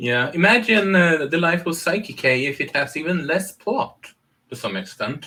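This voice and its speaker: A man with a high-pitched voice and a bright, sharp tone. His intonation is lively and his pace moderate. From Sweden. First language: Swedish. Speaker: podcast co-host. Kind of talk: casual chat.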